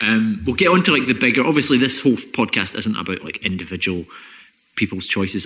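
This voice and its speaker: Speaking very fast, a man with a Scottish accent uses lively intonation. His voice is fairly low with a bright, sharp tone. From Scotland. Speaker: podcast host, comedian and environmental researcher. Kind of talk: casual chat.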